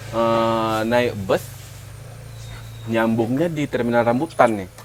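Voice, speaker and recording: A man speaks at a very slow pace. His medium pitch holds fairly even intonation. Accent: Medan. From North Sumatra, Medan area. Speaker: podcast co-host. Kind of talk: casual chat.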